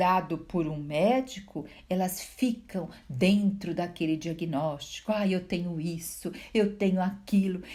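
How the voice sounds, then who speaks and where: A soft-spoken woman with a somewhat breathy, dark, mellow tone at a very slow pace. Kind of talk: Bible reflection talk to viewers.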